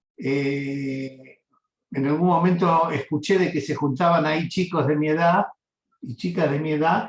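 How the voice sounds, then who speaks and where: Here a man talks with a Rioplatense accent. His voice is high in pitch, with fairly even intonation. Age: 70s. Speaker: interviewee recounting life story. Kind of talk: oral history interview. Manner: halting, many fillers.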